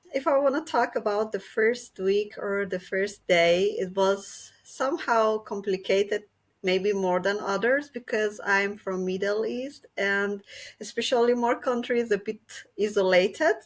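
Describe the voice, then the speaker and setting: A woman with a Persian accent speaks at a medium pitch and a fairly slow pace, with ordinary pitch variation, on a very clean recording with a silent background. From Iran. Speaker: activist. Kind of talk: casual chat.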